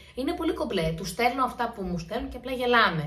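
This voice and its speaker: A woman's high-pitched voice moves through very wide pitch swings. Audible room echo can be heard. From Greece, Santorini. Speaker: YouTuber. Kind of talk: Q&A vlog, casual chat. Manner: chatty, informal.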